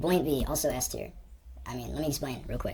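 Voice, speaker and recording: A woman's voice with vocal fry and ordinary pitch variation. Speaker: gaming youtuber. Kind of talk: tier list commentary. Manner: sped up; casual, hesitant.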